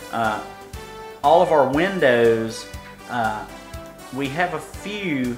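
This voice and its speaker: Music runs in the background. A man speaks at medium pitch. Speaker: gaming video host. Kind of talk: game commentary.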